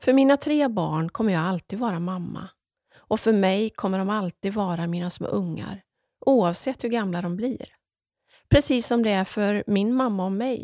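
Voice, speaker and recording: With a dark, mellow tone and medium pitch, a woman talks at a moderate pace with ordinary pitch variation on a very clean recording with a silent background and a dry, close sound with no echo. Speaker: podcast host and author. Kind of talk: casual monologue; reading aloud from own book.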